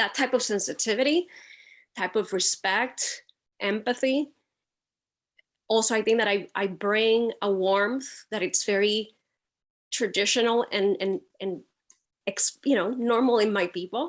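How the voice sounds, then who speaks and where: A woman with a Puerto Rican accent and fairly high pitch speaks at a fairly slow pace with long, frequent pauses, in a very clean recording with a silent background. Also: ordinary pitch variation. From Puerto Rico. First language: Spanish. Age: 60s. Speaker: photojournalist. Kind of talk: panel introduction.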